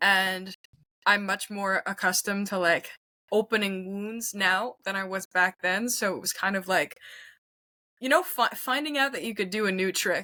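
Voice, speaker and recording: Long, frequent pauses from a woman with a Montreal accent, medium pitch, bright sharp tone, dry close sound with no echo. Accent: Montreal anglophone Canadian English. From Quebec, Canada. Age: 20s. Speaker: singer-songwriter. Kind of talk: casual interview chat.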